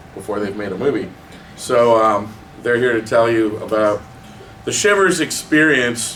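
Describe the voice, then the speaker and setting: Noticeable background noise and audible room echo around a man speaking at a medium pitch. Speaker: magazine writer and panel moderator. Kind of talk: hosting a panel Q&A. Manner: loud.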